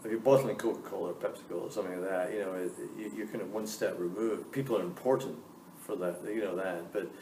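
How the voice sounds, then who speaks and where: A man's fairly low voice at a very fast pace, with audible room echo. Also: ordinary pitch variation. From Scotland. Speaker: business school dean. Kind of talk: Q&A interview with students.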